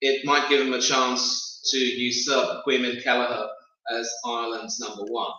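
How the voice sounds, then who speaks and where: Audible room echo surrounds a man with a British accent. He speaks in monotone, flat intonation. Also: medium pitch for a man, moderate pace. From UK. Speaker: football pundit. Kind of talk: casual chat. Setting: live stream.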